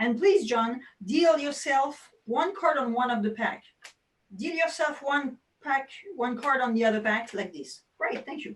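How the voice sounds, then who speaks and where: Animated and with lively intonation, a woman with a French accent speaks at a fairly slow pace in a high pitch, her loudness swinging widely. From France. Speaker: magician. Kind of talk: tutorial.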